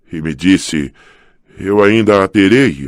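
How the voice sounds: A put-on character voice from a man, very deep and low, hoarse, with lively intonation and a fairly slow pace.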